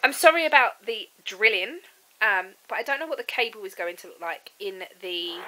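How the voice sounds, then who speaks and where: A woman talks at a moderate pace with a fairly high pitch. Her pitch swings very widely and her loudness rises and falls in big swings. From UK. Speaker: vlogger. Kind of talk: casual vlog. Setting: at home. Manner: casual, hesitant with fillers. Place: home room. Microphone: phone near.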